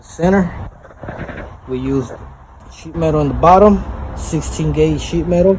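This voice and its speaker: A man speaks at a moderate pace with long, frequent pauses. Noticeable background noise and audible room echo fill the recording. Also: big swings in loudness. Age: 20s. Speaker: welder fabricator, tutorial video maker. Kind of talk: casual tutorial. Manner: casual, with filler words.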